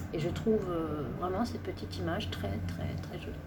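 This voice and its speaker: Audible room echo and noticeable background noise around a woman's speech. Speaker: craft video maker. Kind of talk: casual craft presentation.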